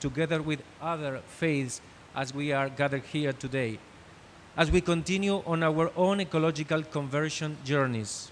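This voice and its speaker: With a Spanish accent, a man speaks at a moderate pace in a fairly high pitch with ordinary pitch variation. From Argentina. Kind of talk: prepared panel speech read from script. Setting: conference panel. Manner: reading from script.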